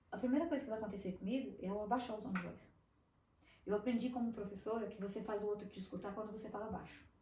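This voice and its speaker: A woman's fairly high voice at a very fast pace, with fairly even intonation and audible room echo. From Brazil, Espírito Santo. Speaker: business owner, former teacher. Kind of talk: podcast interview.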